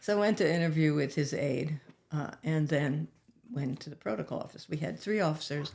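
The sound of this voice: Low pitch, vocal fry and a slightly mellow tone from a woman at a fairly quick pace, with ordinary pitch variation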